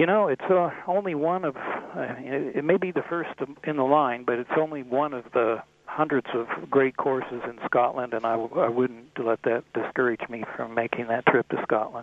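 Speaking at a moderate pace, a man has an ordinary speaking voice of medium pitch with ordinary pitch variation. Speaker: golf travel author. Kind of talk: casual interview.

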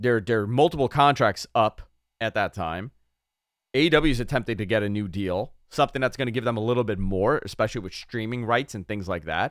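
With a New York accent, a man speaks at a fairly quick pace in an animated tone, his medium-pitched voice showing ordinary pitch variation in a dry, close sound with no echo. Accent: New York accent, comes out despite effort. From New York City (Queens). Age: 30s. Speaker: radio host. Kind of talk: casual chat.

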